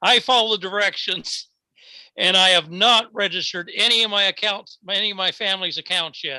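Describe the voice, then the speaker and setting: A man's raised, projected voice, high in pitch and bright and sharp in tone, on a very clean recording with a silent background. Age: 70s. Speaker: network marketing member. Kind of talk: casual chat.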